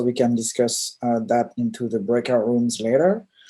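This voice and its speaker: The speaker talks at a moderate pace in a French accent. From France. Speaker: diversity consultant and UX researcher. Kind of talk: presentation.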